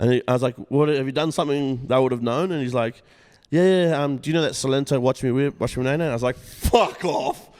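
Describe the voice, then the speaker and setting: A man with an Australian accent talks at a very fast pace with ordinary pitch variation over noticeable background noise. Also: fairly high pitch for a man. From Australia, South West Sydney. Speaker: rapper and music producer. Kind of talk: casual chat. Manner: animated.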